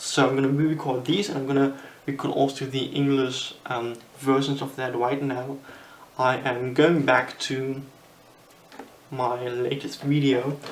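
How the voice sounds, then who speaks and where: The speaker, with a German accent, talks at a fairly slow pace with long, frequent pauses. Noticeable background noise is present. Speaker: magician. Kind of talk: tutorial. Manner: halting.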